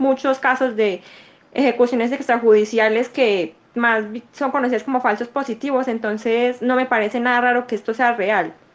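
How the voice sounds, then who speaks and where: At a moderate pace, a woman with a high pitch and fairly even intonation talks over noticeable background noise. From Colombia, Medellín (paisa). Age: 20s. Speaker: law student and church youth leader. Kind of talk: interview conversation.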